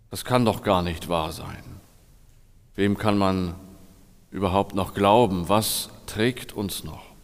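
A man at a fairly low pitch, very slow and with fairly even intonation, big swings in loudness, long, frequent pauses and audible room echo. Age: 40s. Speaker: pastor. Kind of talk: sermon.

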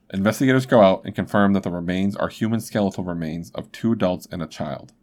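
Against a very clean recording and silent background, a man with an unremarkable speaking voice and fairly low pitch talks at a fairly quick pace with ordinary pitch variation. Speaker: podcast host. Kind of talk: true-crime narration, storytelling read. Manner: conversational, casual.

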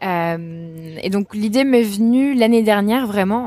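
Dark and mellow, the voice belongs to a woman. She takes a fairly slow pace. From rural France. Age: 20s. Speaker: entrepreneur. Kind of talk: interview. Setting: outdoors.

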